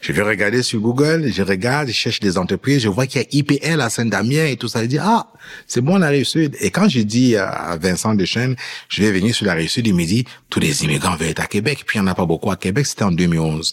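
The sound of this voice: A man speaks quickly in a fairly low voice with a slightly husky edge and lively intonation.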